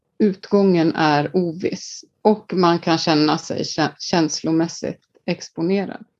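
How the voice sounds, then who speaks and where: This woman has an Icelandic accent and a fairly low pitch. Her pitch varies by an ordinary amount. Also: quiet background. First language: Icelandic (speaking Swedish). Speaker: leadership coach. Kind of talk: casual interview.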